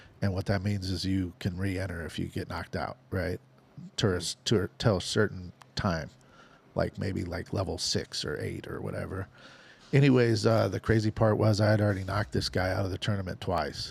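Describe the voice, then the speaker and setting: A somewhat breathy man with an American accent, very deep, low pitch and fairly even intonation, at a fairly quick pace on a very clean recording with a silent background. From Nebraska. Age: 50s. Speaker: professional gambler. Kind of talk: casual chat.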